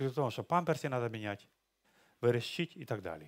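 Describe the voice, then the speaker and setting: Very wide pitch swings from a man, against a quiet background. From Ukraine. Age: 60s. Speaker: pastor. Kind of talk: sermon. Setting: church. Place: church. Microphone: headset.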